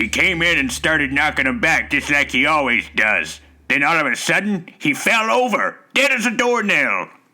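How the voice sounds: A man uses a put-on character voice at a high pitch with very wide pitch swings. He goes at a moderate pace with hardly any pauses.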